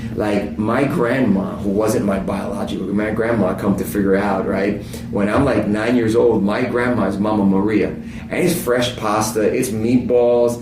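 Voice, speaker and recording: Over music in the background and audible room echo, a man with a fairly low pitch speaks in an animated tone at a moderate pace with hardly any pauses and ordinary pitch variation. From New Jersey, Italian neighborhood. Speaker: pastor. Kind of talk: casual chat.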